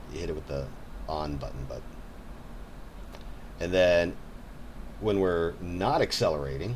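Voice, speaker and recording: There's audible room echo around a man whose speech has ordinary pitch variation. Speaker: game developer and artist. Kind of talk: casual game walkthrough. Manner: halting, many repetitions.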